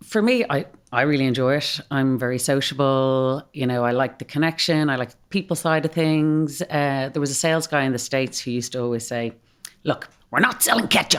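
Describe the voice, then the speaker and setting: A woman with an Irish accent talks at a fairly quick pace in a very deep, low pitch with ordinary pitch variation, against noticeable background noise. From Ireland, Malahide (north Dublin). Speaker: drinks company executive. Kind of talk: podcast interview. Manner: animated.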